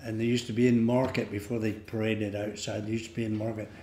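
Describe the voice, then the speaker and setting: A man with a Devon accent, very fast pace, fairly low pitch, and monotone, flat intonation, plus audible room echo and light background noise. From England, North Devon (Barnstaple). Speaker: local elder sharing memories. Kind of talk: oral history reminiscence. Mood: relaxed, fond reminiscing. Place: hall.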